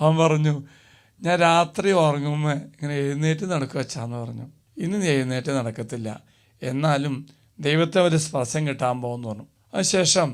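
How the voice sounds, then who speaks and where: In a very clean recording with a silent background, a man talks in a plain, everyday voice with ordinary pitch variation. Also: fairly high pitch for a man. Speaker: priest. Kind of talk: sermon.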